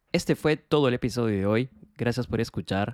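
This is a man speaking at a moderate speed. The audio is dry and close-up, free of any echo. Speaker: podcast host. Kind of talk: interview; scripted narration. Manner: hesitant in conversation, repeats words.

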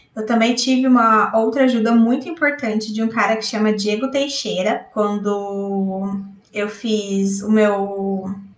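A woman's voice is heard with audible room echo. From interior of São Paulo state, Brazil. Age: 30s. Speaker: software tester. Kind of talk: recorded personal story.

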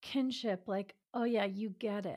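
A woman with an American accent speaks fairly slowly at a fairly high pitch, with fairly even intonation, on a very clean recording with a silent background. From New York City suburbs. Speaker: relationship expert and former physician. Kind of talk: interview.

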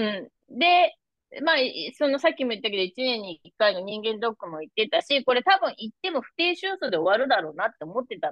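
A woman's fairly high voice at a very fast pace, with very wide pitch swings and big swings in loudness. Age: 50s. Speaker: massage therapist and menopause health coach. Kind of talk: casual interview.

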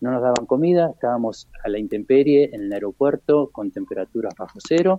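A man with an ordinary speaking voice talks fairly quickly with hardly any pauses, at a fairly high pitch and with lively intonation. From Argentina. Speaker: war veteran. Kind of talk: interview.

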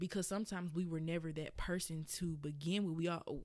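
In a Southern US accent, the speaker talks at a moderate pace with ordinary pitch variation on a very clean recording with a silent background. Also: woman. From Birmingham, Alabama. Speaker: podcast host and blogger. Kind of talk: casual solo podcast, conversational. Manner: casual, hesitant with fillers.

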